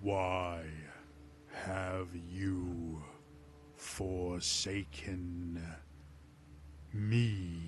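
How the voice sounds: A man's booming put-on character voice, very deep and low, over clear background noise.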